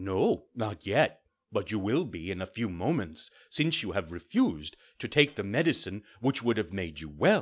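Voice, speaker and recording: In a put-on character voice, a man rumbles at a fairly low pitch and a moderate pace, in a very clean recording with a silent background. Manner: solemn, grumbling.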